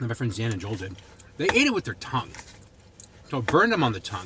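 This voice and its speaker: A man with a Boston accent speaks at a medium pitch over noticeable background noise. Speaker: food reviewer vlogger. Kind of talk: product review vlog. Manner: casual, conversational.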